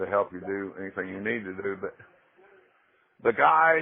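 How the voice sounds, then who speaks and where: This man's pitch sits fairly low, with ordinary pitch variation. His pace is moderate. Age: 60s. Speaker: prisoner and memoir author. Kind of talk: interview.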